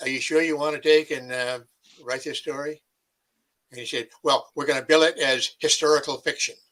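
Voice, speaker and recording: A man speaks with a bright, sharp tone and a fairly high pitch. His delivery is monotone and flat at a fairly quick pace. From New England (Maine / New Hampshire). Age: 80s+. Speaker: retired army officer, Vietnam veteran. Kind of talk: interview. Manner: halting, many fillers and repeats.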